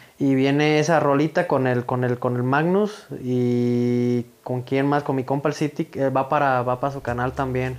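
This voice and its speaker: Fairly even intonation marks this man's speech at a fairly slow pace. Noticeable background noise runs underneath. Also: medium pitch for a man. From Mexico, Michoacán (Villa Jiménez). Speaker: rapper. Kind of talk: interview, casual chat.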